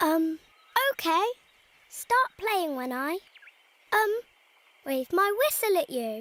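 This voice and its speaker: An extremely high-pitched cartoonish character voice swings very widely in pitch. It moves at a fairly slow pace, broken by long, frequent pauses. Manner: hesitant, stammering.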